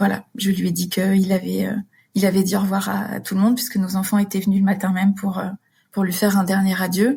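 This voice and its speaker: A woman's somewhat breathy, dark and mellow voice, flat and monotone, at a fairly quick pace. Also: medium pitch for a woman. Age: 30s. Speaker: widow. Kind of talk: interview answer. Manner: hesitant, emotional.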